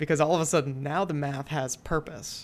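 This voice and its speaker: On a very clean recording with a silent background, a woman speaks at a fairly quick pace in a very deep, low pitch with vocal fry. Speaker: podcast co-host, designer. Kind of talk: casual chat between co-hosts. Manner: casual, filler words, halting.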